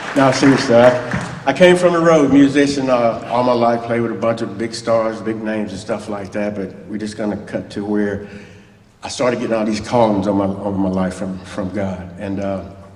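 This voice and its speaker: Amid audible room echo, a man with a strong Southern US accent speaks at a fairly low pitch with ordinary pitch variation. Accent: thick southern drawl. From US South, Mobile, Alabama. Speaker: church guest speaker, former musician. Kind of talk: testimony. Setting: church. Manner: fast.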